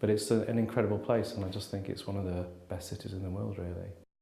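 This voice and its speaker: A man's somewhat breathy voice, dark and mellow in tone, with a slight Manchester accent and audible room echo. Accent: slight Mancunian. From Manchester, northern England. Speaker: life coach. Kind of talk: interview testimony. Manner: casual.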